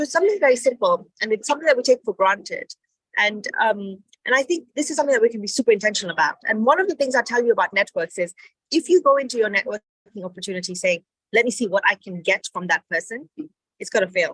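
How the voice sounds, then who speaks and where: A woman talks at a very fast pace with a fairly high pitch and very wide pitch swings. The sound is dry and close, with no echo. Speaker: entrepreneurship speaker. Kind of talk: motivational talk.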